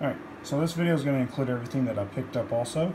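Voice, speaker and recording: A man's pitch rises and falls in an ordinary way while noticeable background noise carries on. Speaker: ball python breeder. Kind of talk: casual talk to camera. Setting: indoors with fan noise in background.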